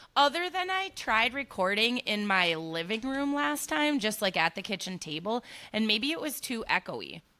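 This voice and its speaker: A loud woman speaks at a moderate pace with hardly any pauses, her pitch fairly high. Her tone is bright and sharp, and her pitch swings very widely. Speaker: hairstylist and podcast co-host. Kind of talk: casual chat. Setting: salon.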